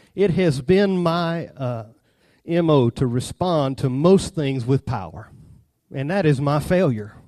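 The speaker has a Southern US accent and ordinary pitch variation. The sound is dry and close with no echo, against a quiet background. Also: man. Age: 30s. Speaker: preacher. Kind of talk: sermon.

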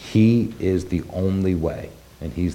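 A man speaks with a very deep, low pitch and ordinary pitch variation. Audible room echo surrounds his voice. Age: 40s. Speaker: congregation elder giving the sermon. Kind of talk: sermon. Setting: congregation service.

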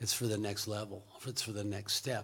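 Somewhat breathy, this man speaks at a fairly low pitch. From US Pacific Northwest. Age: 60s. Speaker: missionary. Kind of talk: interview. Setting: church.

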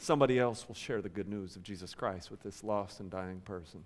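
In a normal speaking voice, a man talks at a fairly quick pace and fairly low pitch with ordinary pitch variation. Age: 30s. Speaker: pastor. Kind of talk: sermon. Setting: church.

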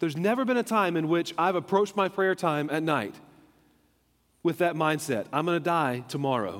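A man talks at a moderate pace with a high pitch and lively intonation. His loudness stays very even on a very clean recording with a silent background. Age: 30s. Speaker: pastor. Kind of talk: sermon. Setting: church.

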